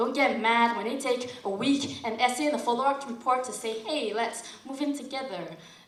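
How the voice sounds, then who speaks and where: A woman's high-pitched voice at a fairly quick pace, with ordinary pitch variation and noticeable background noise. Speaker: slam poet. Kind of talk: slam poetry performance. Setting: live event.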